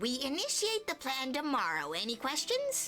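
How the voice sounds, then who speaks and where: A woman's put-on character voice, high-pitched and at a moderate pace, with clear music in the background. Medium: game stream. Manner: confident, breezy.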